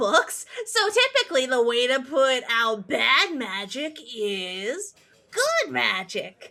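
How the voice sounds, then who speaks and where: The voice is a put-on character. It moves at a very slow pace. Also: female-sounding voice, high pitch for a woman. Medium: actual play. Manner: halting, slightly robotic.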